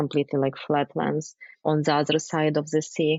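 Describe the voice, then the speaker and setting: A woman speaks with a Ukrainian accent. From Ukraine. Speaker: wine communicator, former chemist. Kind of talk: interview answer.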